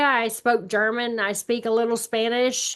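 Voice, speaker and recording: A woman with an American accent, fairly high in pitch, at a moderate pace against a quiet background. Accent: Alabama accent with some Texas. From Alabama. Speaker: real estate agent. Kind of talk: webinar presentation.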